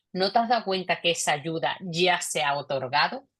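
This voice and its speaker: In a Cádiz Andalusian accent, a woman with a medium pitch talks at a moderate pace with lively intonation over a quiet background. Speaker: investor panelist. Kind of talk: panel discussion.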